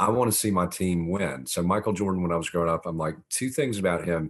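With a Southern US accent, a man speaks in a very deep, low pitch with ordinary pitch variation. The background is quiet. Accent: Southern American. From US South (Augusta, Georgia). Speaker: former mayor and author. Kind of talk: podcast interview.

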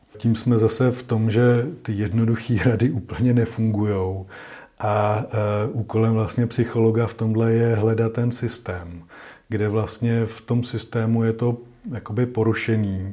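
The voice has a dark, mellow tone, a somewhat breathy quality and a monotone, flat delivery at a fairly slow pace. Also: man, medium pitch for a man. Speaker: psychologist. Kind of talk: interview.

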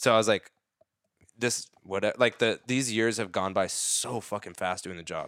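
A plain, everyday voice from a man, medium in pitch with ordinary pitch variation at a moderate pace, on a very clean recording with a silent background. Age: 30s. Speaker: dancer. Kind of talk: casual chat.

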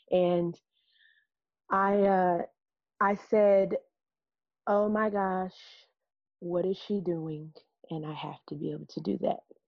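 In an American accent, a woman speaks at a very slow pace with long, frequent pauses and fairly even intonation. The background is quiet. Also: medium pitch for a woman. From US Midwest (Peoria, Illinois). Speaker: jazz singer and educator. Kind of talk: casual chat.

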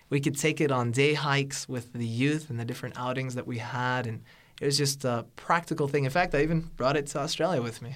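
A man with an American accent and an ordinary speaking voice, fairly high-pitched, with fairly even intonation, on a very clean recording with a silent background. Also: fairly quick pace. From Northern California. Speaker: seminary student and preacher. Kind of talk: radio interview.

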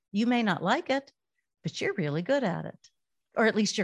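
A woman at a very fast pace, dry and close with no echo, against a quiet background. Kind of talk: live-streamed podcast chat. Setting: live webinar broadcast.

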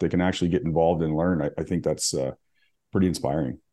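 A man talking at a very fast clip. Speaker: podcast co-host. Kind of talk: interview conversation.

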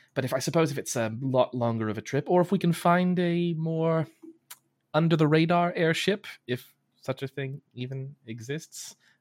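A normal speaking voice from a man, fairly high in pitch, lively intonation and big swings in loudness, dry and close with no echo. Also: moderate pace. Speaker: player in tabletop roleplaying game. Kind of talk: casual banter around a tabletop roleplaying game.

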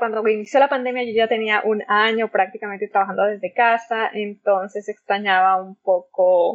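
A woman with an ordinary speaking voice speaks fairly slowly at a fairly high pitch. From Mexico, Zacatecas. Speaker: oceanographer. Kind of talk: interview.

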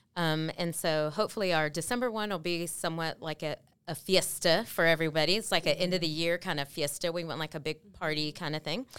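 A woman with a Texan accent talks at a very fast pace with hardly any pauses. Her voice is fairly low with ordinary pitch variation. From Texas, Waco. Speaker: community outreach staff. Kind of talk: casual chat.

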